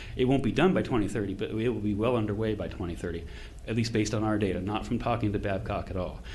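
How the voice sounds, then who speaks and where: A man's fairly low, fry-tinged voice at a very fast pace, with audible room echo. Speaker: consultant presenting to county commissioners. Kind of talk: public meeting presentation. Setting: county commission meeting. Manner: animated.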